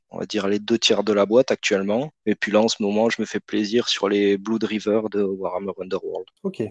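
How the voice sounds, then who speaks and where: With a plain, everyday voice, a man speaks at a fairly low pitch and fairly slow pace with fairly even intonation. The sound is dry and close with no echo, against a quiet background. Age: 30s. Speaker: board game hobbyist. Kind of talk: casual chat.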